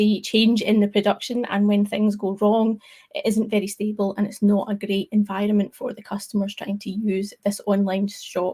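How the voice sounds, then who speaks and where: A woman with a Scottish accent speaks at a medium pitch and a moderate pace, with hardly any pauses. Her intonation is monotone and flat. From Scotland. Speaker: tech speaker, developer advocate. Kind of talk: tech talk presentation. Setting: online live stream.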